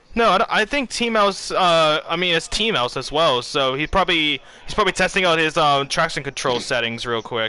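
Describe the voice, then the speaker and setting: With an American accent and a high pitch, a man talks at a fairly quick pace with hardly any pauses, his bright, sharp, animated tone riding on lively intonation. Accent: sounds American to some listeners. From Bermuda. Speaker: esports commentator. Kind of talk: live commentary. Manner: casual, animated.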